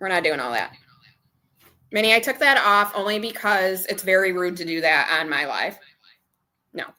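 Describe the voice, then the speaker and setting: Loud and bright with a sharp tone, a woman speaks at medium pitch and a moderate pace, her intonation lively, with long, frequent pauses. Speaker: budgeting livestreamer. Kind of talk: casual livestream chat.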